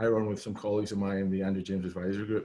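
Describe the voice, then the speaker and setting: A man with a Scottish accent talks in a fairly low pitch. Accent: Scottish accent, noticeable. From Scotland. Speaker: business consultant. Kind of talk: casual interview.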